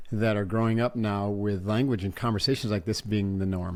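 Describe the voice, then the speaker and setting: A man with an American accent talks at a moderate pace in a normal speaking voice. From upstate New York. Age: 60s. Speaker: podcast host. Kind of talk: interview conversation.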